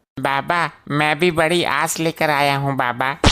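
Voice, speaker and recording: Using a cartoonish character voice, a man speaks at a fairly slow pace with monotone, flat intonation. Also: fairly high pitch for a man. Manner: whiny, naive.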